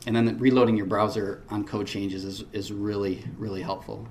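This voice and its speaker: A man speaks at a moderate pace with fairly even intonation and a fairly low pitch. Audible room echo surrounds his voice. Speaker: web developer presenting at a conference. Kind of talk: conference talk. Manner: hesitant, many fillers.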